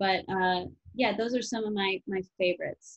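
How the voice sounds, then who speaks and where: A woman with a normal speaking voice in an American accent, medium pitch, fairly even intonation and moderate pace over a quiet background. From Chicago area, Illinois; Illinois. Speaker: actress and comedian; actress, comedian. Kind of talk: interview. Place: home room. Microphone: webcam.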